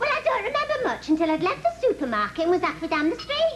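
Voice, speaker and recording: Using a squeaky, put-on character voice, a woman rattles along at a very fast pace and an extremely high pitch, with very wide pitch swings, very even loudness and light background noise. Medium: comedy sketch.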